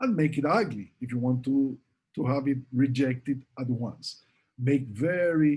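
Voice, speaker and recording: A man at a fairly slow pace, somewhat breathy, with a dark, mellow tone and ordinary pitch variation. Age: 60s. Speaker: professor; presenter. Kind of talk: Q&A answers; lecture. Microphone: webcam.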